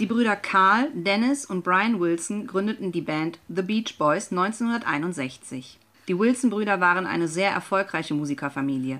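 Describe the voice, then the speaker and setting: A woman speaks in a normal speaking voice at a medium pitch, her intonation lively. Her pace is fairly slow, with hardly any pauses. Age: 30s. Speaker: guest radio presenter. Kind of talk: scripted radio presentation.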